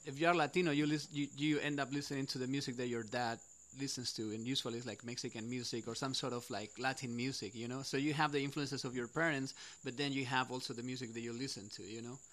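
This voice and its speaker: A man with a Spanish accent and fairly high pitch speaks at a very fast pace. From Spain. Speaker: musician in a band. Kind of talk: casual interview.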